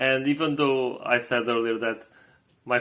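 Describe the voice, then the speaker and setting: The speech carries a Portuguese accent with fairly even intonation. The recording is very clean, with a silent background. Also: man. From Portugal. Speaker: vlogger. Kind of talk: casual vlog recap. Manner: halting, many fillers and repetitions.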